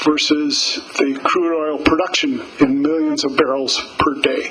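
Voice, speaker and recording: The speech moves at a very slow pace. Noticeable background noise and audible room echo are present. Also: man. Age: 60s. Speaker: professor. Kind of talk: lecture.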